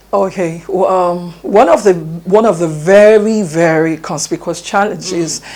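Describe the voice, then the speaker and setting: In a Nigerian accent, a woman talks at a fairly slow pace with medium pitch and ordinary pitch variation. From Nigeria (Yoruba). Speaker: education expert. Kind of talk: TV interview.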